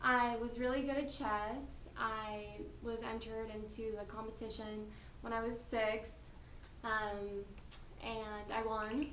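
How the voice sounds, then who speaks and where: Amid noticeable background noise and audible room echo, a woman with an American accent talks fairly slowly at a fairly high pitch, in a monotone, flat intonation, with long, frequent pauses. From US, North Carolina. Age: 20s. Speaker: interviewee. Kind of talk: interview.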